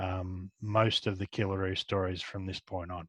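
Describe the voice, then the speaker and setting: A man with an Australian accent, fairly low in pitch, at a fairly slow pace, with a dry, close sound with no echo and a quiet background. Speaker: comic book writer and artist. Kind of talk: interview answer. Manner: soft-spoken.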